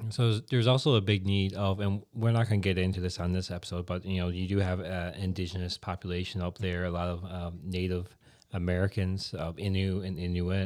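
A man with a very deep, low pitch and fairly even intonation, at a fairly quick pace with hardly any pauses, on a very clean recording with a silent background. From Newfoundland, Canada. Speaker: podcast host and church planter. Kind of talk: casual chat. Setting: studio.

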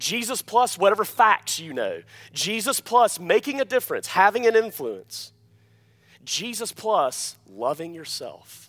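A man with an Alabama accent at a fairly slow pace, big swings in loudness and a very clean recording over a silent background. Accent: Southern US (Alabama). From US South, Alabama. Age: 30s. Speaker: pastor. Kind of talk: sermon. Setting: church.

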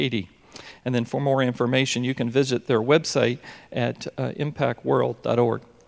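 Vocal fry marks a man's medium-pitched voice as he talks at a moderate pace with fairly even intonation. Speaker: pastor. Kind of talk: church introduction. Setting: church.

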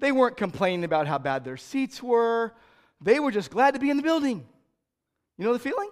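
Speaking at a moderate pace with an American accent, the voice has an animated tone and very wide pitch swings. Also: man. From California. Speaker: pastor. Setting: church service before a congregation. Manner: conversational and animated storyteller, repeating words for effect; warm, folksy delivery with self-corrections and small stumbles.

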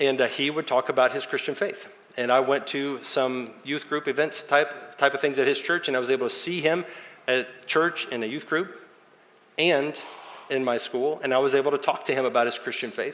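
Here a man has an ordinary speaking voice with a fairly high pitch. His pace is moderate and his pitch variation ordinary. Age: 40s. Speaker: pastor. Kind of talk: sermon.

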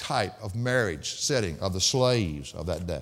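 A man talks in a Southern US accent at a fairly quick pace. His pitch swings very widely. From US South. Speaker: pastor. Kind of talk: sermon. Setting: church. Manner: fast talker.

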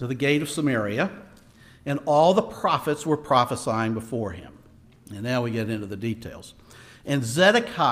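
The clip consists of plain reading aloud.

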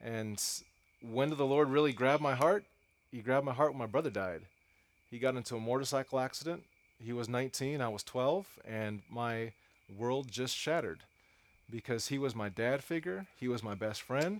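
A medium-pitched man with an American accent at a moderate pace, ordinary pitch variation, long and frequent pauses, on a very clean recording with a silent background. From US West Coast (East Los Angeles). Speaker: preacher. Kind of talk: sermon. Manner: animated.

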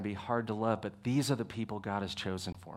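A man with a Texan accent at a fairly quick pace, in a very clean recording with a silent background. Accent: Texan American. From Texas. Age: 40s. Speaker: pastor. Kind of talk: sermon. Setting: church.

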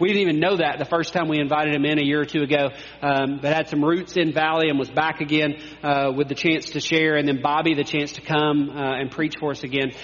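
A man, fairly high-pitched and monotone with flat intonation, at a very fast pace amid noticeable background noise. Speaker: pastor. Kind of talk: sermon. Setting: church.

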